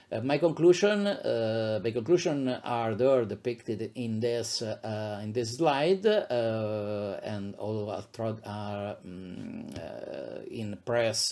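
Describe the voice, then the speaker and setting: With an Italian accent, a man speaks very slowly with hardly any pauses, in a dark, mellow tone at a medium pitch. His intonation is lively, and his loudness swings widely. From Italy, Abruzzo region. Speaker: psychiatrist, professor. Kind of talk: lecture. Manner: halting, many fillers.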